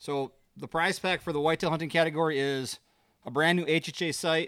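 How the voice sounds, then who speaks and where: A man speaks at a fairly quick pace in a fairly high voice. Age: under 50. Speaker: hunting and food plot podcast co-host. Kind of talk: casual chat. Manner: animated.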